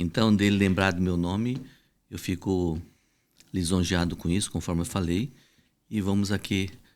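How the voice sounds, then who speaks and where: In a very clean recording with a silent background, a man speaks in a very deep, low voice. His pace is moderate and his intonation fairly even. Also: long, frequent pauses. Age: 60s. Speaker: reproductive medicine doctor. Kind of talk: podcast interview.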